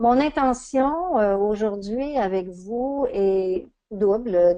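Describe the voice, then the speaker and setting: There is a quiet background behind a woman whose tone is dark and mellow. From Quebec. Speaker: coach and trainer. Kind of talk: webinar lecture. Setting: online webinar.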